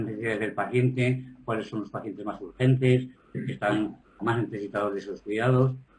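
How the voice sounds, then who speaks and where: At a moderate pace, a man talks in a somewhat breathy voice of medium pitch with fairly even intonation. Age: 60s. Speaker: patient advocate living with HIV. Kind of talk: webinar panel discussion.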